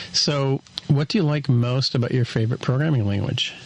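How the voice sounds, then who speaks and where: Noticeable background noise sits behind a man speaking in a medium pitch with an American accent and ordinary pitch variation. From US. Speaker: podcast co-host. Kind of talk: interview.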